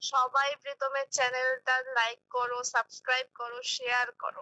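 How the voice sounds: A bright, sharp tone at a fairly quick pace, with big pitch swings and a dry, close sound with no echo. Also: woman, high pitch for a woman.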